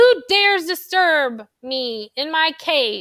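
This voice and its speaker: Using a put-on character voice, a woman speaks at a very slow pace and an extremely high pitch. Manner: growling, menacing.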